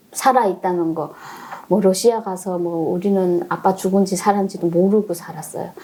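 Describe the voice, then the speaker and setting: A woman's medium-pitched voice, fairly even in intonation, is heard through noticeable background noise. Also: moderate pace. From North Korea. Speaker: North Korean defector. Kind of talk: interview.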